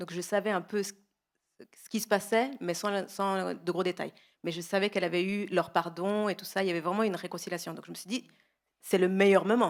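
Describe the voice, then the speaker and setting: The speech moves at a fairly quick pace with fairly even intonation and big swings in loudness, on a very clean recording with a silent background. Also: woman, medium pitch for a woman. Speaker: guest sharing testimony. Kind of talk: testimony. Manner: fast.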